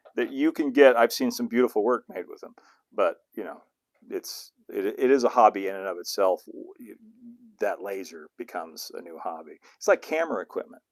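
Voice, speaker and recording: Big swings in loudness mark this man's fairly quick speech, recorded dry and close with no echo. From US West (southern California). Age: 60s. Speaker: model railroading YouTuber. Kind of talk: livestream Q&A, casual chat. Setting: home studio livestream. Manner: hesitant, many fillers and restarts.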